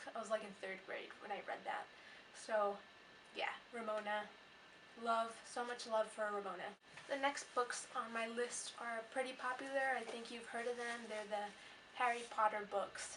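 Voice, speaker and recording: A woman's fairly high, monotone, flat voice at a moderate pace, with long, frequent pauses and noticeable background noise. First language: not English. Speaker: book vlogger. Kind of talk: casual vlog monologue.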